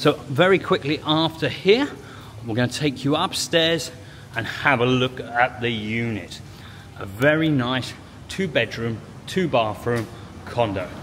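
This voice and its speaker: A man talks at a fairly slow pace with long, frequent pauses. Light background noise runs behind him. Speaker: property tour host. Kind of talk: casual property tour commentary. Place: garage. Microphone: phone near.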